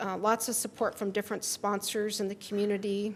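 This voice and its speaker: Her intonation is monotone and flat as a woman with a Midwestern US accent speaks at a medium pitch. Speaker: library director. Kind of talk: presentation to council.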